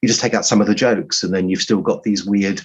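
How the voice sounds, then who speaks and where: A man with a fairly low pitch and an English accent. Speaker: writer. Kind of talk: interview. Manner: halting.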